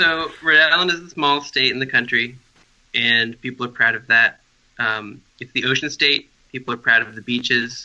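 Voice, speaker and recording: With an American accent, a man speaks in an unremarkable speaking voice at a medium pitch and moderate pace, his pitch varying in an ordinary way. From US Northeast. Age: young. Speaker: bike advocacy director. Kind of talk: interview. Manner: casual, frequent 'um' fillers.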